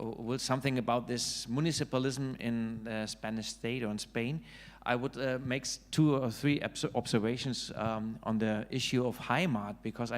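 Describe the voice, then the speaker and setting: A man with a German accent, medium in pitch, at a moderate pace with fairly even intonation and hardly any pauses, in a very clean recording with a silent background. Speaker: author and political scientist. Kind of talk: panel discussion. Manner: halting, many fillers.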